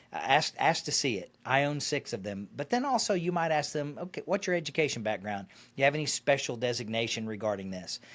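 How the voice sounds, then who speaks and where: Talking at a very fast pace with a slight Arkansas accent, a man uses a fairly high pitch with very wide pitch swings and big swings in loudness. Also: hardly any pauses, very clean recording, silent background. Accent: faint Arkansas. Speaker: financial advisor and radio host. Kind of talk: interview.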